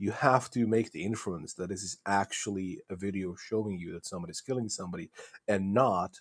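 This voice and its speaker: With a non-native accent and fairly low pitch, a man talks at a fairly quick pace, showing ordinary pitch variation and big swings in loudness. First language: not English. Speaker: globe earth debater. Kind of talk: debate. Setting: voice chat on a discord server. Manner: halting.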